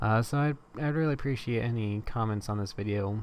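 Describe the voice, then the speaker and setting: A man talks fairly quickly, his medium-pitched voice rising and falling in an ordinary way. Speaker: amateur composer, music youtuber. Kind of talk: tutorial. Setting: at home late at night. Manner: hesitant, filler-heavy.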